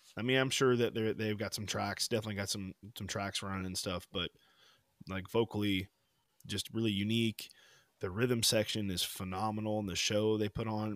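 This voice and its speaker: On a very clean recording with a silent background and a dry, close sound without echo, a man speaks at a fairly quick pace in a fairly low, monotone, flat voice. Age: 30s. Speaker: podcast co-host. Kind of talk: casual chat.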